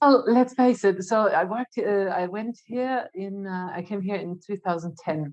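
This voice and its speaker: Speaking with a German accent, a woman shows ordinary pitch variation and big swings in loudness. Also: medium pitch for a woman, moderate pace. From Germany. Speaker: marketing executive. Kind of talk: podcast interview.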